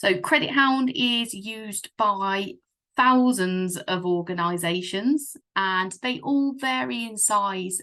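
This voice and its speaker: Against a quiet background, a woman with a British accent speaks in a fairly high pitch, her tone bright and sharp and her intonation lively. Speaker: software partner manager presenting a product. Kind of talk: webinar product presentation. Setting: video call webinar. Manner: hesitant, many fillers.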